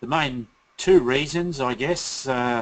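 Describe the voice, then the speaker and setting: A man of medium pitch speaks with an Australian accent. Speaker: company founder and CEO, presenter. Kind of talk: webinar presentation. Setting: online webinar. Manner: hesitant, many filler words.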